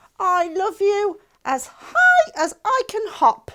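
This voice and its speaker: A woman puts on a squeaky character voice at an extremely high pitch, raised and projected. She speaks at a very slow pace. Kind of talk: bedtime story. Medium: read story.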